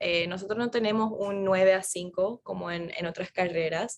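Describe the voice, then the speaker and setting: Speaking with an American accent, a woman talks at a fairly slow pace. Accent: americanized Spanish, Spanglish. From Florida, US, Paraguayan parents. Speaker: neuroscientist. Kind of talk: interview conversation.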